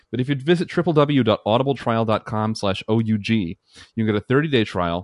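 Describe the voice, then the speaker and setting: A plain, everyday voice with lively intonation and a fairly quick pace. The sound is dry and close with no echo, over a quiet background. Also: man. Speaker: guest podcast co-host. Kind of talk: casual chat.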